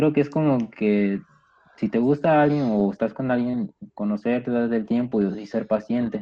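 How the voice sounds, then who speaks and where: The speech moves at a moderate pace with ordinary pitch variation and very even loudness. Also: man, medium pitch for a man. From Peru. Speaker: guest, gamer friend. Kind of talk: casual chat.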